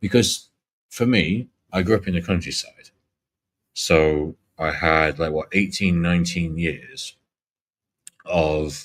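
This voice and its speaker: In a Yorkshire accent, a man with a very deep, low pitch speaks at a very slow pace, with ordinary pitch variation and long, frequent pauses. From Yorkshire, rural northern England. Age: 40s. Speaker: live streamer. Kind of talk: casual chat.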